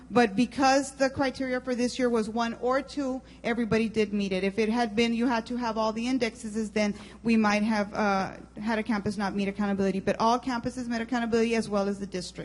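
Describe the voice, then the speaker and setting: A woman's fairly high, somewhat breathy voice, very fast, with fairly even intonation. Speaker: school district administrator. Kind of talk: presentation at board meeting. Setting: school board meeting.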